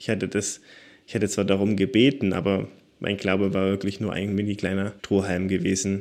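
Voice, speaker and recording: Recorded very cleanly against a silent background, a man talks at a fairly quick pace in a flat, monotone intonation. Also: fairly low pitch for a man. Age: 20s. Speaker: secondary school teacher. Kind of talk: interview, personal testimony.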